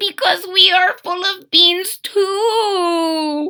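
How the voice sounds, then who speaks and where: A woman's put-on character voice, extremely high-pitched, very slow, with fairly even intonation. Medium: read story. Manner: Spanish-sprinkled English.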